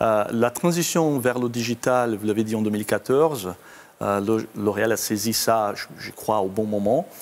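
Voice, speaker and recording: At a fairly slow pace, a man speaks with a slight Brazilian accent, medium pitch, and ordinary pitch variation. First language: Portuguese (speaking French). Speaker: company IT executive. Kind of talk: interview. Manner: halting, many hesitations.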